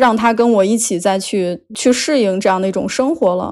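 At a moderate pace, a woman speaks at a fairly high pitch with ordinary pitch variation over a quiet background. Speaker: podcast guest sharing dating stories. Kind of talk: casual chat. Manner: clear articulation.

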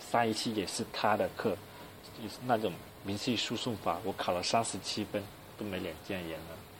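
At a moderate pace, a man with a fairly low pitch talks with ordinary pitch variation. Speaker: university student podcaster. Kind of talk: casual solo monologue. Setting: alone in a dorm room.

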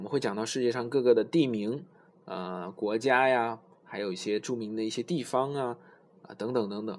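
A man talks at a moderate pace and medium pitch with ordinary pitch variation, his loudness swinging widely. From China. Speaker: English learning podcast host. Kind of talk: tutorial. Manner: halting, many filler sounds.

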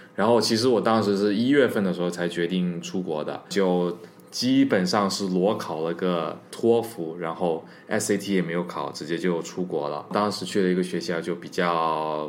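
Over noticeable background noise and audible room echo, a man with a very deep, low voice talks at a moderate pace. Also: ordinary pitch variation. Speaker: overseas worker and former student abroad. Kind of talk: casual chat.

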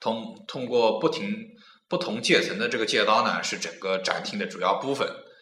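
A man with a Nanjing accent speaks at a moderate pace, with audible room echo and noticeable background noise. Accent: Nanjing dialect, imperfect. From Nanjing, China. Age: 20s. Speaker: podcast host. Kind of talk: casual chat.

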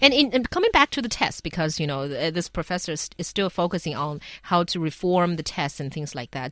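In a very clean recording with a silent background, a woman with a fairly low pitch speaks with a Chinese accent. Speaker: radio host. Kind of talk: radio panel discussion.

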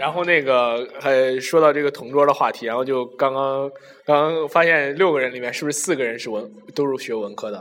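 Fairly high-pitched man at a fairly quick pace, with ordinary pitch variation and noticeable background noise. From Shanxi. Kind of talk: casual chat.

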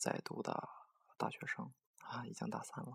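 Whispered speech at a moderate pace. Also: woman. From Dalian, northeast China. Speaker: amateur music radio host. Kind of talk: casual DJ talk between songs. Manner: halting, many filler sounds.

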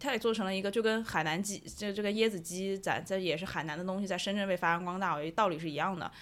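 A woman's fairly low voice at a very fast pace, with ordinary pitch variation, in a very clean recording over a silent background. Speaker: marketer. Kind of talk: casual chat.

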